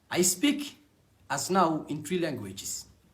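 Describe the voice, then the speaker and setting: A man speaks with a Somali accent and lively intonation, his voice somewhat breathy. The room adds audible echo. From Somalia. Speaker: network marketing distributor. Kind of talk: personal testimony.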